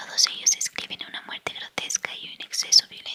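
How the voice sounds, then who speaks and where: Speaking in a whisper, a woman keeps a moderate pace. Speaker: audiobook reader. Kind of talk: whispered book reading. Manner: whispered.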